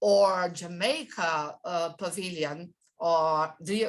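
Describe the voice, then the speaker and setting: A woman at a very slow pace, medium pitch, with a non-native accent, in a very clean recording with a silent background. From Brazil. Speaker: trade exhibition expert. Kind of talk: guest expert talk. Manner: halting, many fillers and repetitions.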